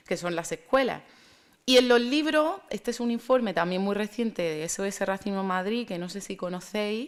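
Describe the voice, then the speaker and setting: A woman speaks at a moderate pace with a strong Murcian accent, her medium-pitched voice carrying lively intonation. Her loudness swings widely in a very clean recording with a silent background. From Spain, Murcia. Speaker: speaker on racism and African storytelling. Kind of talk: conference talk. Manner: hesitant, with fillers and repetitions.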